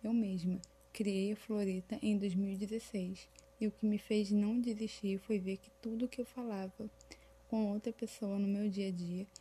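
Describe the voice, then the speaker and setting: Her medium-pitched voice is somewhat breathy, with a dark, mellow tone. The woman speaks at a fairly slow pace with fairly even intonation. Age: 20s. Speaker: fashion designer and small business owner. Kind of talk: scripted podcast monologue.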